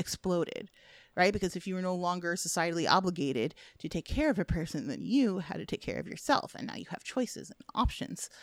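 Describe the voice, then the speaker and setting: Speaking very fast with an American accent, a woman at a medium pitch uses lively intonation, an animated tone, vocal fry and big swings in loudness on a very clean recording with a silent background. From US Midwest. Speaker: film critic. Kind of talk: casual chat.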